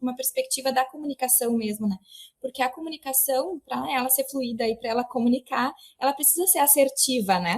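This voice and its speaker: A woman's very fast, high-pitched speech, dry and close with no echo. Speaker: historian interviewer. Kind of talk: interview question. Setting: remote call.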